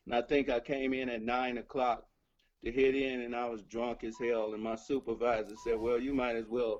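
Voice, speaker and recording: Music sits in the background. A man talks at a moderate pace and a medium pitch. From Chicago. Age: 60s. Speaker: blues musician. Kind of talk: interview storytelling.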